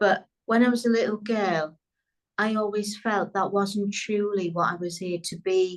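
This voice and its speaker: Here a woman speaks with a British accent at a medium pitch. Her intonation is fairly even. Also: fairly slow pace. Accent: British accent, remarked as beautiful. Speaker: business coach. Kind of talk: interview.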